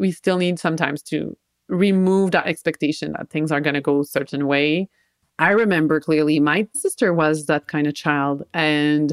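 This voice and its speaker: A woman speaks at a moderate pace in a very deep, low pitch with fairly even intonation. The sound is dry and close with no echo, and the recording is very clean over a silent background. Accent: French Canadian. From Quebec. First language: French. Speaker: social worker and parent coach. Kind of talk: interview.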